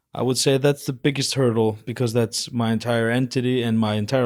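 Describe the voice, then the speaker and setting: A man speaks with an Icelandic accent at a medium pitch and moderate pace. His intonation is fairly even, and the recording is very clean with a silent background. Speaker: fitness personality. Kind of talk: casual chat.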